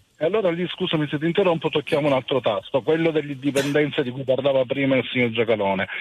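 Pitched fairly high, a man talks at a very fast pace with ordinary pitch variation and hardly any pauses. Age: 50s. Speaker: hotel industry worker, radio caller. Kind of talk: call-in opinion.

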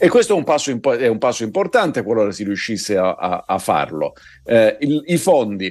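At a medium pitch, a man's voice swings very widely in pitch. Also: moderate pace. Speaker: political commentator. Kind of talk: news commentary.

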